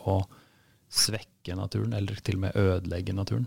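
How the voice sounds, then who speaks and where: Vocal fry runs through a man's very deep, low pitch. He speaks at a fairly quick pace with lively intonation. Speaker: podcast host. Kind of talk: interview.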